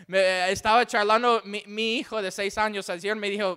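A raised, projected voice with a bright, sharp tone speaks in an English accent at a moderate pace. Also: man. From Texas, Houston. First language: English (speaking Spanish). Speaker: missionary preacher. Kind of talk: sermon. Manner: halting.

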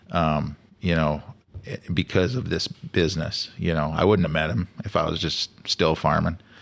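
With a Canadian prairie accent, a man speaks at a moderate pace. His pitch is very deep and low, with ordinary variation. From Saskatchewan, Canada. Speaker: hunting lodge owner and outfitter. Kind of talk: casual chat. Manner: halting, repeats words.

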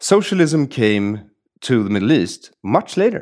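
A man speaks with a Swedish accent, his pitch making very wide swings. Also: very clean recording, silent background. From Sweden. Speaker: podcast host. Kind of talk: casual conversation.

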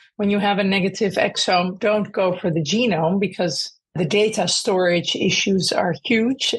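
A woman speaks with hardly any pauses. Her voice is somewhat breathy. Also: medium pitch for a woman, ordinary pitch variation, moderate pace, very even loudness. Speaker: clinician researcher. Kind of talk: expert interview.

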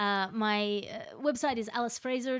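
She speaks with an Australian accent. Her intonation is fairly even. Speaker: podcaster and comedian. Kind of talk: casual chat.

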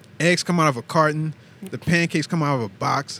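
Over noticeable background noise, a man talks at a moderate pace in a fairly high voice. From Terrytown. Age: 20s. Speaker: military veteran. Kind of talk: casual chat.

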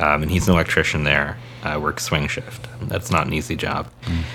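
Noticeable background noise behind a man in an American accent, at a fairly quick pace. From San Diego, California. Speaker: podcast host. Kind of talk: casual political discussion.

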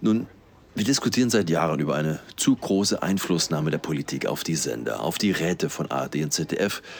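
A man speaks at a moderate pace in a very deep, low voice with vocal fry. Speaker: podcast host. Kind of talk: interview. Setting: café in a train station.

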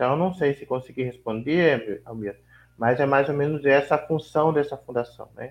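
The voice is a normal speaking voice at a moderate pace. Its pitch variation is ordinary, and its loudness swings widely. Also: man, fairly high pitch for a man. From Vale do Ribeira, São Paulo state, Brazil. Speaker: quilombola community leader. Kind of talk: interview.

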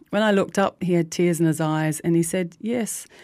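Over a silent background in a very clean recording, a woman with a New Zealand accent speaks at a moderate pace in a fairly low, dark, mellow voice with ordinary pitch variation. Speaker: community radio host. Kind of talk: scripted narration. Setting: radio studio.

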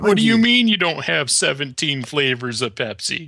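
A man's loud, put-on character voice in an American accent, fairly high in pitch with very wide swings, at a moderate pace. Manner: incredulous, brash.

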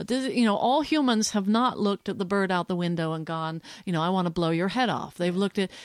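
Lively intonation from a woman at a fairly quick pace, in a very clean recording with a silent background. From New Jersey, childhood in Switzerland and Belgium. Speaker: sociology professor and activist. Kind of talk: casual interview conversation. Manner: halting, many restarts.

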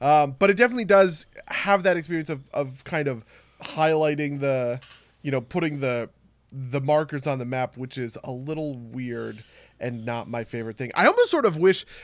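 Here is a man with a fairly high pitch and lively intonation. He uses an ordinary speaking voice at a moderate pace. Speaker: podcast co-host. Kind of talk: casual chat about games. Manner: explanatory, swears casually.

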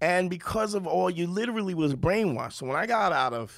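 A man talks with a Brooklyn accent. The recording is very clean, with a silent background. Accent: New York (Brooklyn). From Brooklyn, New York. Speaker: comedian. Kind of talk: casual chat.

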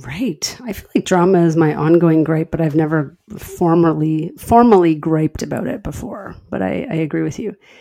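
A woman talks with a fairly low pitch and lively intonation, hardly pausing at all. Noticeable background noise sits behind her. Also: moderate pace. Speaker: podcast co-host. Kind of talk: casual chat. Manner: laughing, animated.

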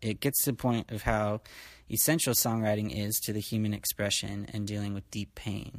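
A man talks in a plain, everyday voice at a fairly low pitch. His pace is moderate and his intonation fairly even. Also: very clean recording, silent background. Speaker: podcast host. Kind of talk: casual family interview. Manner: warm, conversational.

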